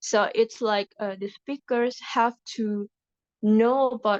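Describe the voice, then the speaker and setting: A woman with an Indonesian accent speaks very slowly at a fairly high pitch with fairly even intonation, in a dry, close sound with no echo. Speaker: university student. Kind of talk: class group discussion. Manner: halting, many fillers.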